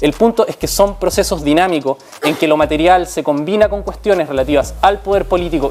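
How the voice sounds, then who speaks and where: Music plays behind a man who speaks at a high pitch. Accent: Chilean. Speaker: sociologist in debate. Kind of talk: debate.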